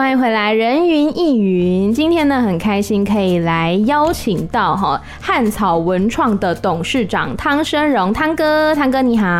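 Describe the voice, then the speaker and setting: Music plays in the background as a woman speaks at a fairly slow pace. Her fairly high voice swings very widely in pitch. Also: hardly any pauses, very even loudness. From Taiwan. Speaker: podcast host. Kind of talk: interview.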